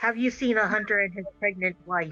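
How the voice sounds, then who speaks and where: A put-on character voice, fairly high in pitch and gruff, speaks at a moderate pace with fairly even intonation over faint background music. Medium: actual play. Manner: commanding, curt.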